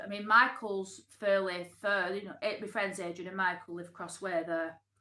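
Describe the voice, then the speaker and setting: With a Lancashire accent, a woman talks at a moderate pace in a medium pitch and a bright, sharp tone. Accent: Oldham, Lancashire English. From northern England, Oldham. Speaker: YouTuber. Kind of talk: casual live stream chat. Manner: animated.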